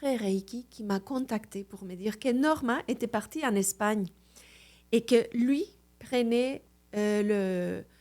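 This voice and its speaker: Speaking at a very slow pace, a woman with a dark, mellow tone holds a fairly high pitch with ordinary variation. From Mexico City, Mexico. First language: Spanish (speaking French). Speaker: Reiki master. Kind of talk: podcast interview.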